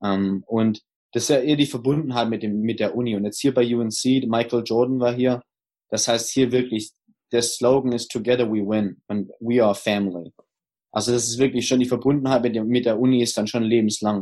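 Speaking at a moderate pace, a man uses a dark, mellow tone at medium pitch with fairly even intonation. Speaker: former pro footballer, college coach. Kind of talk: interview.

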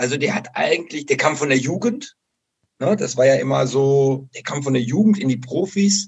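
Pitch swings very widely here. A somewhat breathy quality runs through the voice. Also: man. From western Germany, Bocholt (Dutch border). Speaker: football coach. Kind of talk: interview.

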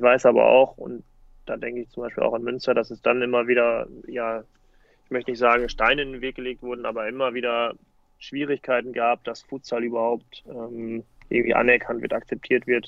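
His delivery is fairly quick, with monotone, flat intonation and big swings in loudness. The man's pitch sits in the medium range. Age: 30s. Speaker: futsal player and coach, teacher. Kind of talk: casual interview.

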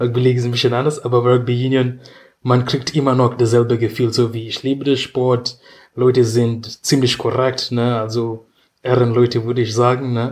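The voice runs at a moderate pace with monotone, flat intonation. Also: man, medium pitch for a man. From Kenya, Nairobi. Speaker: rugby player. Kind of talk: casual chat.

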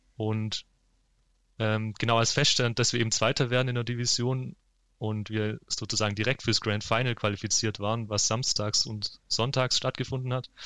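A man at medium pitch with monotone, flat intonation. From eastern Württemberg, Germany (Heidenheim area). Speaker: esports gamer, football fan. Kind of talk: casual interview.

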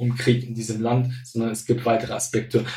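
A man speaks in a somewhat breathy voice. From Syria. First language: Arabic (speaking German). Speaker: football fan culture expert. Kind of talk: casual interview. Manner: hesitant, many fillers.

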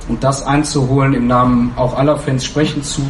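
The speech comes with monotone, flat intonation, audible room echo, and noticeable background noise. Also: man. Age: 30s. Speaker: fan council member. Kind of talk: panel discussion.

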